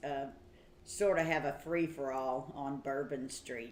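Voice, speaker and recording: With an Appalachian accent, a woman speaks at a fairly slow pace. The room adds audible echo. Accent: Tennessee Appalachian. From Tennessee, Smoky Mountains. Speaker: Navy veteran, livestream co-host. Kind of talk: casual chat. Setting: livestream.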